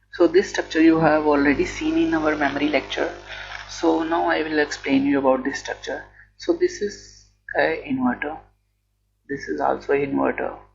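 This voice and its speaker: There is music in the background. A man speaks over it at a moderate pace. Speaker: electronics engineering educator. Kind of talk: lecture explanation.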